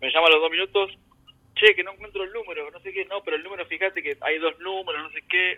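A man's high-pitched voice at a very fast pace, with fairly even intonation. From Argentina, Buenos Aires province (San Martín). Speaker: emigrant gardener. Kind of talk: casual interview. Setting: remote call from home.

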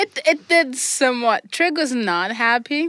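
In an ordinary speaking voice with lively intonation, this speaker goes at a fairly slow pace, the sound dry and close with no echo. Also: woman. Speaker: tabletop roleplaying player. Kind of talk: tabletop roleplaying game session, casual chat.

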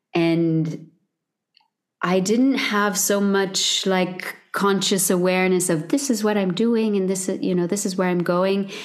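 At a fairly slow pace, a woman uses an ordinary speaking voice of medium pitch, with very even loudness and fairly even intonation. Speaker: vocal coach and singer. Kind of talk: casual interview chat.

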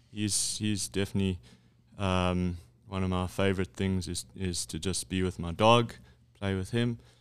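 At a moderate pace, a man speaks in a very deep, low voice with fairly even intonation. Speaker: business executive. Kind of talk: casual interview.

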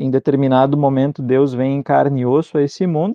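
A man speaks at a medium pitch with fairly even intonation in an unremarkable speaking voice. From southern Brazil (Rio Grande do Sul interior). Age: 20s. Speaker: Lutheran pastor. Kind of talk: theological discussion.

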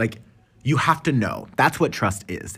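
A man talks at a moderate pace. His tone is animated, with lively intonation. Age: 30s. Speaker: spiritual podcast host, tarot reader. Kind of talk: casual solo monologue. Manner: animated, laughing often.

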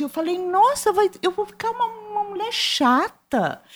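Speaking at a fairly slow pace, a woman swings her pitch very widely. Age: 60s. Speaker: writer and visual artist. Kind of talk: interview.

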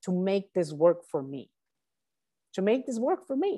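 The woman's tone is dark and mellow. She speaks at a medium pitch. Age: 40s. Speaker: life coach and author. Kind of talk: interview. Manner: halting with many fillers.

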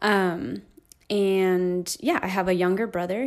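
A woman with an American accent speaks at a fairly slow pace and a medium pitch. Her intonation is fairly even, and the recording is very clean with a silent background. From California, Inland Empire. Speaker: children's ministry director. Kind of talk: casual interview.

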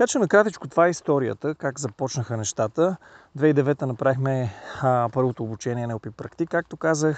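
A man talks in a normal speaking voice at a moderate pace. Ordinary pitch variation comes through a dry, close sound with no echo. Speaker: NLP trainer. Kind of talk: casual monologue. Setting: outdoors, mountain trail. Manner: casual, with filler sounds.

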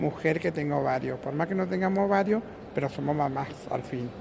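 Speech at a moderate pace, with ordinary pitch variation, comes through over noticeable background noise. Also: woman. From Argentina, Rosario. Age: 50s. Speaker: shopkeeper. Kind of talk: interview.

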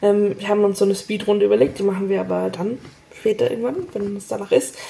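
An unremarkable speaking voice from a woman, medium in pitch, at a fairly quick pace. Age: 20s. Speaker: podcast host and actress. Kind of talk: casual interview conversation.

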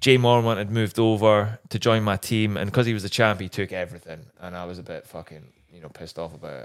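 A man with a Scottish accent and a fairly low pitch, very fast pace, hardly any pauses, and big swings in loudness. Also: ordinary pitch variation. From Scotland. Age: 30s. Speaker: former motocross racer. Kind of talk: casual chat.

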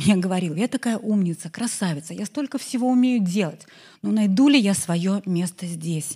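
A woman speaks in a medium pitch with a dark, mellow tone and a somewhat breathy quality. Her intonation is lively, and the recording is very clean with a silent background. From Belarus. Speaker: entrepreneur and marketer. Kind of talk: conference talk. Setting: stage with audience.

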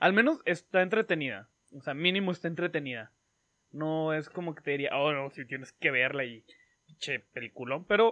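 In a Mexican accent, a man speaks at a moderate pace in a fairly high pitch, with lively intonation and big swings in loudness. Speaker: podcast co-host. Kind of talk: casual chat.

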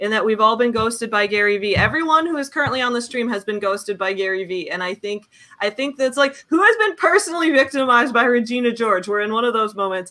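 Over clearly audible background noise, the words come out very quickly. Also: woman. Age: 20s. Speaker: livestream host. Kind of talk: casual chat.

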